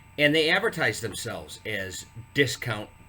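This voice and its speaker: A man with an American accent, a bright, sharp tone and very wide pitch swings. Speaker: real estate broker. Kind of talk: casual explainer video. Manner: repetitive, stammering fillers.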